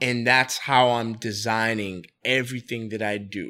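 With a New York accent, a man speaks at a very slow pace in a medium pitch and a bright, sharp tone, on a very clean recording with a silent background. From New York City, the Bronx. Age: 30s. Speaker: entrepreneur and restaurant owner. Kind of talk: casual interview.

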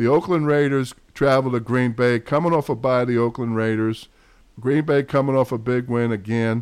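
Male speaker at a medium pitch and moderate pace, with ordinary pitch variation and a quiet background. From New York. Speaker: podcast host. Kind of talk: casual sports chat.

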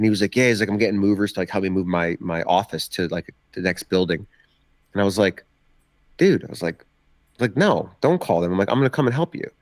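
A man's fairly low voice at a very fast pace, broken by long, frequent pauses, in a dry, close sound with no echo and a very clean recording over a silent background. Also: ordinary pitch variation. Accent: American. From New Jersey, Ocean County (Jersey Shore). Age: 30s.

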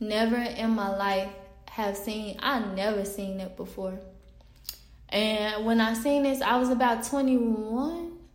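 Speaking very slowly in a Southern US accent, a woman with a fairly high pitch and ordinary pitch variation is heard with audible room echo and noticeable background noise. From US South, Pine Bluff, Arkansas. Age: 20s. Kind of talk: casual faith testimony monologue. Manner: halting, many fillers and restarts.

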